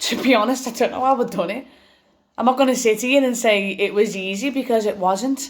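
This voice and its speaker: With an English accent, a woman speaks at a fairly quick pace in a high pitch and fairly even intonation. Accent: English regional (British). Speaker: vlogger sharing cancer experience. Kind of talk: personal testimony vlog. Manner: loud; halting with repetitions.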